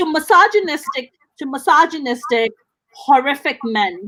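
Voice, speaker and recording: A woman is speaking. Her tone is animated. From South Asia. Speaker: podcast host. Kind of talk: casual chat.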